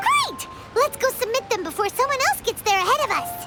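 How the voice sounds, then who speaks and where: Squeaky and extremely high-pitched, a put-on character voice moves at a fairly quick pace with clear music in the background. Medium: video game. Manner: energetic.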